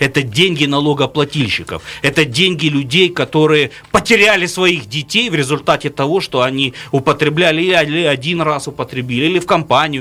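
Music plays behind a man whose fairly high voice keeps a moderate speed. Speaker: regional politician. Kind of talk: radio talk show discussion. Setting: studio. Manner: animated.

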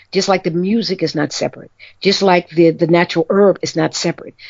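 Speaking at a fairly quick pace, a woman with an American accent has an ordinary speaking voice, a fairly low pitch and ordinary pitch variation. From New York, Harlem. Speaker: magazine writer and cultural historian. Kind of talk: interview. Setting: phone call.

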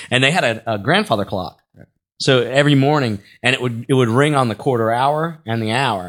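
An ordinary speaking voice with ordinary pitch variation, on a very clean recording against a silent background. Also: man, medium pitch for a man, fairly quick pace. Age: 30s. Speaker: stand-up comedian and podcast co-host. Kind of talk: casual chat. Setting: studio.

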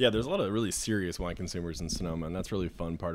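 Here a man talks in a very deep, low pitch with an American accent. His intonation stays fairly even. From Idaho, US. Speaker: wine salesman. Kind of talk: casual chat.

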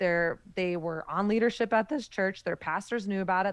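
A woman talks at a moderate pace in a plain, everyday voice of medium pitch. The background is quiet. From US South. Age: 30s. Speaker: author and podcast host. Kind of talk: interview conversation.

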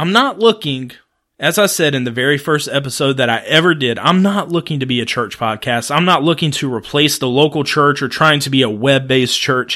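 In a very clean recording with a silent background, a man with a bright, sharp tone and fairly high pitch talks at a fairly quick pace with ordinary pitch variation. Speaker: podcast host and preacher. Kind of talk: solo podcast monologue. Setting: home recording room. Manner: fast.

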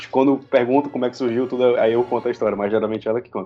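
Here a man is speaking. His pace is very fast. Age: 20s. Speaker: youtuber and film critic. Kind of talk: casual chat.

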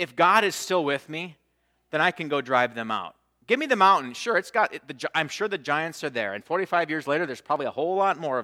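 A man's bright, sharp, fairly high voice with lively intonation at a very fast pace, in a very clean recording with a silent background. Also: dry, close sound with no echo. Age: 40s. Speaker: pastor. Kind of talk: sermon. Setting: church.

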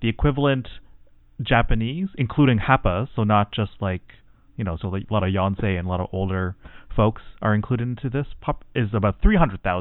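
A man with a Canadian accent talks at a fairly quick pace. He has an ordinary speaking voice, fairly low pitch and ordinary pitch variation. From Canada, Tamil background. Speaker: mental health clinician. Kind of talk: casual chat.

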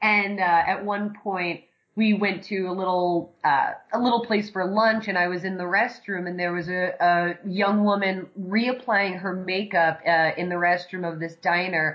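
A woman with an American accent talks at a fairly slow pace and a medium pitch, her intonation monotone and flat. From New York City, Staten Island. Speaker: film and theater director. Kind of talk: casual interview chat.

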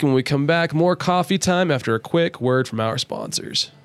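A man talks at a fairly quick pace with an American accent. His pitch variation is ordinary. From southern Ohio. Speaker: radio host. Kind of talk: casual chat. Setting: studio.

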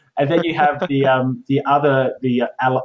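The speaker is a man. He talks with an Australian accent. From Australia, Adelaide. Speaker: game designer and illustrator. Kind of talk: interview. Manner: hesitant, many fillers.

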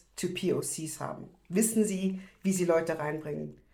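There is audible room echo around a woman speaking at a medium pitch. She keeps a moderate pace with ordinary pitch variation. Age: 30s. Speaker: activist. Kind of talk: casual chat. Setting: video call.

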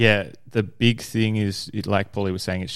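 In a very clean recording with a silent background, a man speaks in a plain, everyday voice, fairly low in pitch, at a fairly quick pace with fairly even intonation. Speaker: gym coach. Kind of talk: casual chat.

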